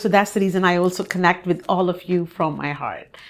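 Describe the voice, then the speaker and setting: At a moderate pace, a woman with a medium pitch speaks in an unremarkable speaking voice. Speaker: podcast host. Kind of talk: podcast interview host talk.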